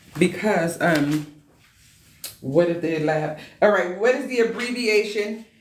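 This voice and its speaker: An animated woman's voice amid audible room echo and noticeable background noise. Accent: American. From US Midwest, Chicago. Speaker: medical assistant exam instructor. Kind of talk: live online exam review class. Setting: live stream with chat.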